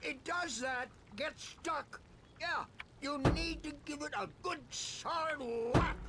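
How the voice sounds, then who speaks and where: Putting on a character voice, a man speaks at an extremely high pitch and a fairly slow pace with long, frequent pauses. Loud background noise and sound effects play behind him. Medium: video game.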